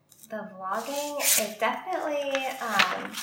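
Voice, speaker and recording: At a fairly slow pace, a woman speaks amid audible room echo and noticeable background noise. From New Jersey, US. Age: 30s. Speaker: YouTuber and former nurse. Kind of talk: casual interview chat.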